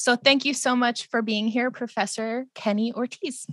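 On a very clean recording with a silent background, a woman's bright, sharp tone comes through dry and close, with no echo. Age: 20s. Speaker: podcast host. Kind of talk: casual chat.

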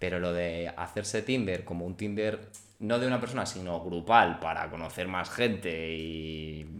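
A man with a very deep, low voice speaks at a fairly slow pace. His pitch varies in an ordinary way, and room echo is audible. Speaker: podcast host. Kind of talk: casual chat.

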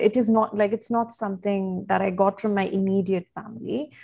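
The voice is somewhat breathy, with a dark, mellow tone. The pace is fairly quick. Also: woman. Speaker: communication specialist and writer. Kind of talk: interview conversation.

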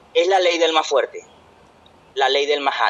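High male speech, lively in intonation, with noticeable background noise around it. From Venezuela. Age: 20s. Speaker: podcast co-host. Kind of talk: casual chat.

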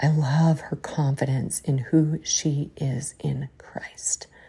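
Low-pitched with a dark, mellow tone, a woman talks at a slow pace with little pitch movement, vocal fry and a husky, rough edge.

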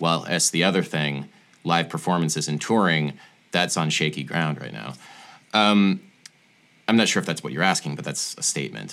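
With vocal fry and a bright, sharp tone, a man with a very deep, low pitch talks at a moderate pace, using ordinary pitch variation and long, frequent pauses. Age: 30s. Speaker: musician and music theory video creator. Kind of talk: casual interview chat. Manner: hesitant, many fillers.

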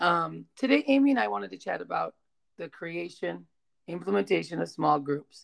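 A woman with a fairly low pitch and vocal fry talks at a moderate pace with very wide pitch swings. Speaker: teacher and podcast host. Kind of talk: casual chat.

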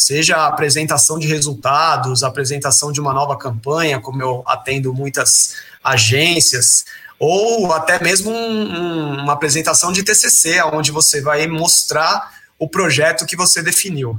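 Noticeable background noise sits behind a man speaking at a fairly slow pace. His voice is fairly high, with ordinary pitch variation. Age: 30s. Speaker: presentation designer. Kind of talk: interview. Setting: live stream.

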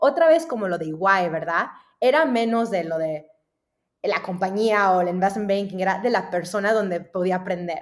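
With an unremarkable speaking voice, a woman speaks at a medium pitch and a moderate pace, her intonation lively. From US South, Dallas, Texas. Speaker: venture capital investor. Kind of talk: interview.

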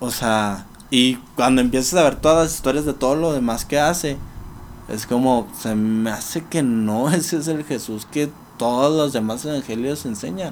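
In a normal speaking voice, a man talks at a moderate pace and a medium pitch. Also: ordinary pitch variation. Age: 20s. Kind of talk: casual interview.

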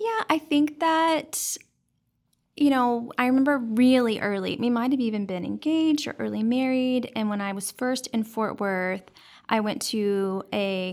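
A woman's plain, everyday voice with an American accent, ordinary pitch variation and a moderate pace, in a very clean recording with a silent background. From Dallas, Texas. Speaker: nonprofit founder and adoptive mother. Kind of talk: casual interview. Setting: studio.

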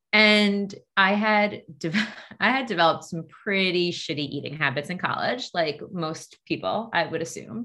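A woman with a Long Island accent, fairly low pitch, ordinary pitch variation, moderate pace. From US Northeast, Long Island, New York. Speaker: dietitian. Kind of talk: podcast interview.

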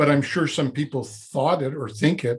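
At a moderate pace, a man talks in a somewhat breathy voice with fairly even intonation. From Quebec, Montreal. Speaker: former Zen monk, personal development coach. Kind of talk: interview conversation.

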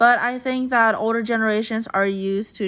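An ordinary speaking voice with an American accent moves at a fairly slow pace. The pitch varies in an ordinary way on a very clean recording with a silent background. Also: woman. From United States. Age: 20s. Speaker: podcast host. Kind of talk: casual monologue.

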